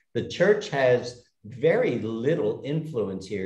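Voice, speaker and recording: This is a man speaking with an American accent. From United States. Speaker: retired expat. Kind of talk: casual chat. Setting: video call.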